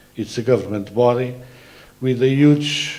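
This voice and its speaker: Medium pitch from a man with a Portuguese accent, a moderate pace and fairly even intonation, amid noticeable background noise and audible room echo. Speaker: transport authority president. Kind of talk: conference presentation. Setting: conference. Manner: halting, many filler sounds.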